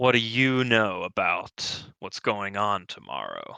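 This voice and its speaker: A put-on character voice, raspy and fairly slow, with a dry, close sound with no echo and a quiet background. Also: man. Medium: actual play.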